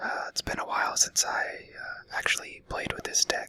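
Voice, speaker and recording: A man is whispering at a fairly slow pace. Noticeable background noise runs behind him. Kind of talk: gameplay commentary. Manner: whispered.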